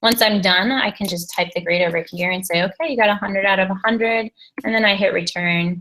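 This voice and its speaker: A woman talks at a very fast pace with a bright, sharp tone. Her pitch is medium, with ordinary variation. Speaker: teacher trainer. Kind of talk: tutorial.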